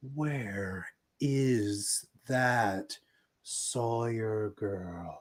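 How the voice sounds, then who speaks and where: A man puts on a booming character voice at a medium pitch with ordinary pitch variation. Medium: actual play.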